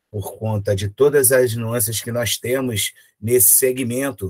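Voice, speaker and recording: Speaking at a fairly slow pace in a Rio de Janeiro accent, a man with a medium pitch sounds somewhat breathy, his intonation fairly even and the sound dry and close with no echo. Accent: Rio de Janeiro (carioca). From Rio de Janeiro, Brazil. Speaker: professor, physical education lecturer. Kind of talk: conference lecture. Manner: hesitant, many fillers and repetitions.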